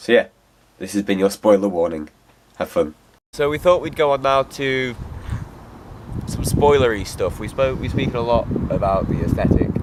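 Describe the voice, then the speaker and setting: With an English accent, a man talks in a lively intonation broken by long, frequent pauses. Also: medium pitch for a man, moderate pace. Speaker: film reviewer. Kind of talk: casual chat; scripted narration. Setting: outdoors.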